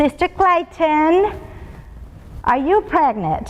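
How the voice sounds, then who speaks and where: With a Spanish accent, a woman speaks in lively intonation over noticeable background noise. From Colombia and Venezuela. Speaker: business executive speaker. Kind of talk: motivational talk.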